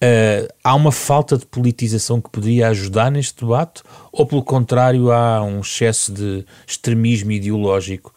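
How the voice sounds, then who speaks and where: A man speaks in a plain, everyday voice at medium pitch and a moderate pace, with fairly even intonation and a dry, close sound with no echo. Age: 40s. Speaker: radio host. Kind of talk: radio interview.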